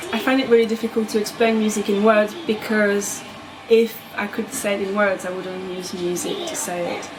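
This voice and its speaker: Against noticeable background noise, a woman with a French accent speaks at a moderate pace in a fairly high voice with ordinary pitch variation. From France, Bordeaux. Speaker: composer and pianist. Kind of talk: interview conversation.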